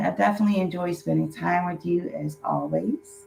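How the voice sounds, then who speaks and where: The woman's voice is somewhat breathy. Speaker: tarot card reader. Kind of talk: monthly tarot reading to camera.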